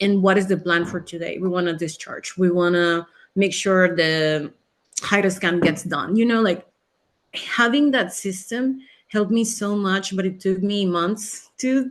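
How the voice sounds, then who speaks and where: A woman with a Spanish accent speaks at a fairly slow pace in a medium pitch. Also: ordinary pitch variation. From Mexico. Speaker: physician. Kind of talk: webinar interview.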